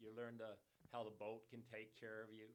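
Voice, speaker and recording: This is a man with a medium pitch. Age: 70s. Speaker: nutrition advocate and sailor. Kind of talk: casual podcast interview. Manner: halting.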